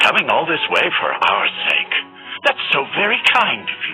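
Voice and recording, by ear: A put-on character voice swings very widely in pitch, with a bright, sharp tone. The pace is moderate, and faint music plays in the background. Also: man, fairly high pitch for a man.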